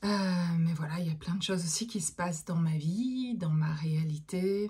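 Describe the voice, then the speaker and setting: A woman's very deep, low pitch with a dark, mellow tone, somewhat breathy, with ordinary pitch variation at a very slow pace. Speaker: therapist and medium. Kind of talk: casual monologue to viewers. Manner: hesitant, many fillers.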